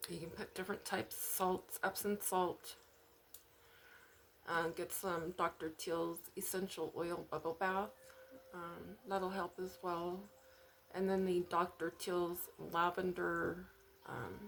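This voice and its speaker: Her pitch is fairly low and her intonation fairly even. The woman speaks at a very slow pace with long, frequent pauses. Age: 40s. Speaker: spiritual video creator. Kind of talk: personal testimony and advice monologue. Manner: halting, many fillers.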